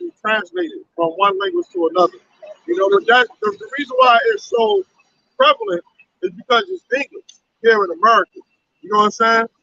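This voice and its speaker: A raised, projected voice with a bright, sharp tone, very wide pitch swings and big jumps in loudness. The pace is fairly quick with long, frequent pauses, and the sound is dry and close with no echo. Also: man. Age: 70s. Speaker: street preacher. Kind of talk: religious street debate. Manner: halting.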